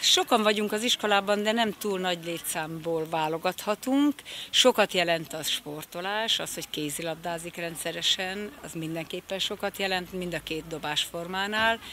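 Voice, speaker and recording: A woman with a fairly low voice and a bright, sharp tone talks at a moderate pace with hardly any pauses and ordinary pitch variation. Her loudness swings widely, and the sound is dry with no echo over light background noise. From Hungary. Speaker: PE teacher and coach. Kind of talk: interview. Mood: friendly, mixed feelings. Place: garden. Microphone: handheld.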